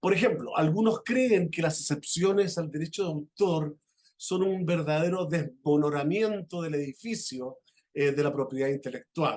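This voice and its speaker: A man's fairly high pitch with ordinary pitch variation, at a fairly slow pace. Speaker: law professor, conference speaker. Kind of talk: conference lecture. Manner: halting, many fillers.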